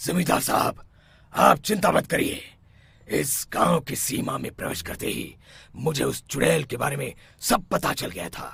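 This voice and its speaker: A man puts on a cartoonish character voice, raspy and fairly high in pitch. He delivers it at a moderate pace. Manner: calm, authoritative.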